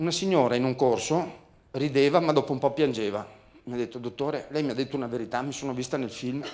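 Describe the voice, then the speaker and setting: Very fast speech from a man at medium pitch, with ordinary pitch variation. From Veneto, Italy (Treviso); Veneto, Italy. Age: 50s. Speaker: motivational speaker and communication trainer; motivational speaker, communication trainer. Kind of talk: seminar talk. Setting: stage with audience. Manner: animated. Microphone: handheld.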